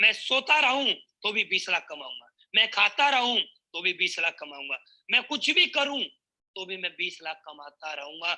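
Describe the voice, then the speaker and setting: Raising and projecting his voice, a man with a high pitch and a bright, sharp tone makes very wide pitch swings. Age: 20s. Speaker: network marketing speaker. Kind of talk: motivational speech. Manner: animated.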